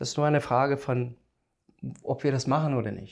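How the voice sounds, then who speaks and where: A man speaks with a non-native accent at a medium pitch. The background is quiet. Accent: foreign accent in German. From South Africa. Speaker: biogas engineer. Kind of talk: casual interview. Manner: halting.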